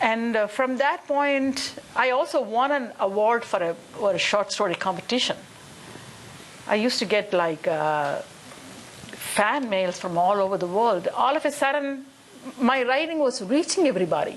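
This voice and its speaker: A woman's fairly high voice in a Tamil accent, very wide pitch swings and very even loudness over noticeable background noise. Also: moderate pace. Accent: Indian (Tamil) English. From India, Chennai. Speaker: musician. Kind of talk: panel discussion. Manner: animated.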